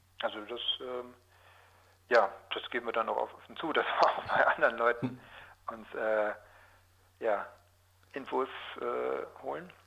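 A man of medium pitch speaks at a fairly slow pace with vocal fry, ordinary pitch variation, big swings in loudness and long, frequent pauses. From southwestern Lower Saxony, Germany (Osnabrück area). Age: 40s. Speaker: journalist. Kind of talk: interview. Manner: hesitant, many filler sounds.

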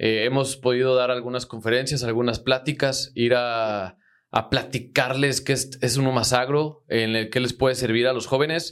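A man's medium-pitched voice at a moderate pace, with monotone, flat intonation and hardly any pauses. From Mexico, Zitácuaro, Michoacán. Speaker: agricultural marketer and entrepreneur. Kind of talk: casual interview. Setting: studio.

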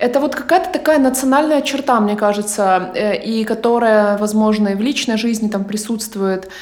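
A woman with a fairly high pitch speaks at a moderate pace with hardly any pauses, and the room echo is audible. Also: ordinary pitch variation. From Ukraine. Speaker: podcast host and producer. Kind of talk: casual interview. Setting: remote call.

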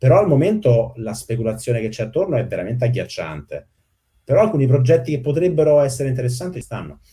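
Very fast, somewhat breathy speech with a dark, mellow tone and very wide pitch swings. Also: man, medium pitch for a man. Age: 40s. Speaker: software engineer. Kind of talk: casual chat.

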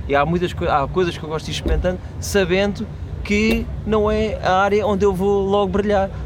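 Audible room echo and noticeable background noise surround a man who talks at a very fast pace. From Portugal. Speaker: comedian. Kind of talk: casual chat.

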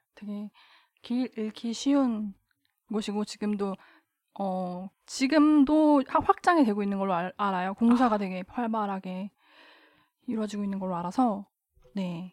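The speech comes at a fairly slow pace with long, frequent pauses, ordinary pitch variation and big swings in loudness. The sound is dry and close, with no echo. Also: woman, medium pitch for a woman. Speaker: member of feminist group. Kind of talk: casual chat.

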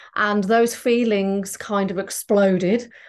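A woman's intonation stays monotone and flat, with only quiet in the background. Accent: English. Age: 40s. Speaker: transformational therapist. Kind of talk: casual chat.

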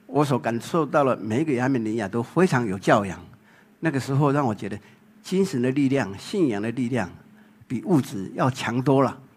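A man speaks in a Taiwanese accent. His intonation is lively. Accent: Taiwanese Mandarin. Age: 60s. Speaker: photographer. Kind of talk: public talk.

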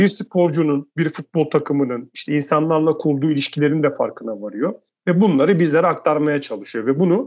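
A man with a fairly high pitch, a normal speaking voice, and a moderate pace. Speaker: podcast co-host. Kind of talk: casual discussion.

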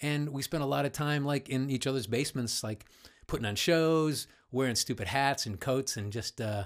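Speaking in a Midwestern American accent at a moderate pace, a man with a medium pitch uses an animated tone on a very clean recording with a silent background. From US Midwest, Cleveland. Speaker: voice-over artist. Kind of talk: casual chat.

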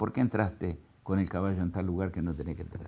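A man has an unremarkable speaking voice pitched fairly low. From Argentina, southern Santa Fe (Venado Tuerto). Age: 60s. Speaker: agricultural equipment businessman and cattle farmer. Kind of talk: interview. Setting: his factory.

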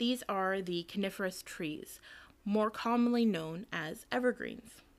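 On a very clean recording with a silent background, a woman with a plain, everyday voice speaks fairly slowly at a fairly high pitch. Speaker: museum collections assistant. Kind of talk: scripted museum tour narration, reading factual information aloud. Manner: formal, even, lecture-like and informative.

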